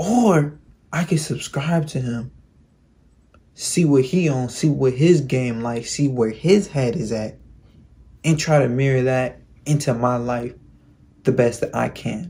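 A man's voice has a dark, mellow tone, somewhat breathy, with ordinary pitch variation. He leaves long, frequent pauses. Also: fairly slow pace. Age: 20s. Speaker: YouTuber giving self-improvement advice. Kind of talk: vlog monologue. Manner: casual, slangy. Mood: reflective, earnest. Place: home room. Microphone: phone near.

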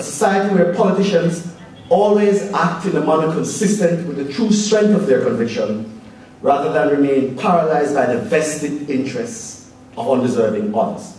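With audible room echo and light background noise, a man speaks at a high pitch and moderate pace with very wide pitch swings. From Jamaica. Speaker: politician and law student presenting a paper. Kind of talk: formal speech. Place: hall.

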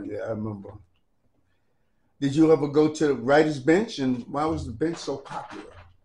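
A man's somewhat breathy, dark, mellow voice at a fairly high pitch, moderate in pace, with ordinary pitch variation, big swings in loudness, and long, frequent pauses. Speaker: graffiti writer and community historian. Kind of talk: interviewer questions.

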